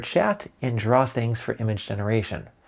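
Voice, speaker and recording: A man speaks at a moderate pace over a quiet background. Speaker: tech reviewer. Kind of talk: tech review talk. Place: office. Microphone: lapel.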